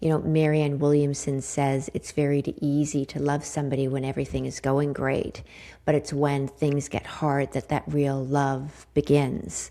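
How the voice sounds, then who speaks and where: A woman speaks in a very deep, low pitch with a dark, mellow tone. Her intonation is monotone and flat. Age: 50s. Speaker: podcast host. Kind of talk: solo podcast monologue. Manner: reflective, conversational with fillers.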